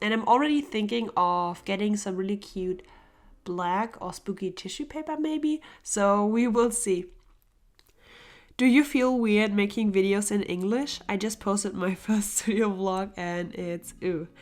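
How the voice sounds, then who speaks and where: A woman speaks with a German accent at a medium pitch, with ordinary pitch variation. Her pace is fairly slow, and the recording is very clean with a silent background. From Germany. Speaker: illustrator and art youtuber. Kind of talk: casual Q&A while sketching. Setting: home studio. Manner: relaxed.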